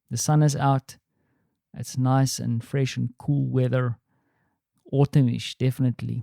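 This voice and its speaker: A dark, mellow voice with a South African accent speaks in a flat monotone at a fairly slow pace. The sound is dry and close with no echo, in a very clean recording with a silent background. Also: man. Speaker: podcaster. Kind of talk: personal vlog monologue. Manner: casual, with frequent fillers.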